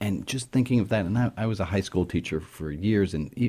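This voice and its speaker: A man speaks at a fairly quick clip with lively intonation and a dark, mellow tone that is somewhat breathy. The recording is very clean, with a silent background. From New York City. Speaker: rabbi. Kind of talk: interview.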